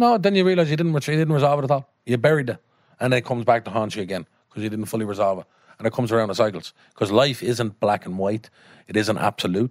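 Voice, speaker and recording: A man with a Dublin accent talks at a very fast pace and a medium pitch with lively intonation, in a dry, close sound with no echo. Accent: Dublin Irish. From Ireland (Dublin). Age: 30s. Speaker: actor. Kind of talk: casual chat.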